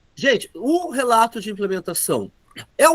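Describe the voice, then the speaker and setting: Pitch swings very widely as a man speaks at a fairly slow pace in a dry, close sound with no echo. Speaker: teacher trainer. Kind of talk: online training class.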